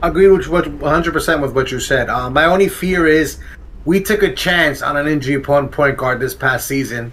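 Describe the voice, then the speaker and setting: At a fairly quick pace, a man speaks in a fairly high pitch. His pitch variation is ordinary, and noticeable background noise comes through. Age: 40s. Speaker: sports talk co-host. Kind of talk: casual sports talk.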